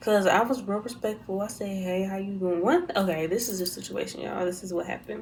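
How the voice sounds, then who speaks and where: A woman's very fast, fairly even-toned speech with hardly any pauses, amid audible room echo and noticeable background noise. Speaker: YouTuber. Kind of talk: storytime vlog. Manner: soft-spoken; talking low.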